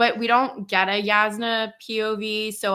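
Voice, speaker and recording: A woman with a Canadian accent speaks in a bright, sharp tone with monotone, flat intonation. Her recording is very clean, with a silent background. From Canada. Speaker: book reviewer. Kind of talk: casual chat.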